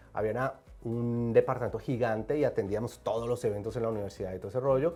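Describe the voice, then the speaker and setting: With a Colombian accent, a man speaks at a fairly quick pace in a dark, mellow tone at medium pitch with ordinary pitch variation, on a very clean recording with a silent background. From Colombia, Medellín. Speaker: film and TV director and producer. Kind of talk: interview. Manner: animated.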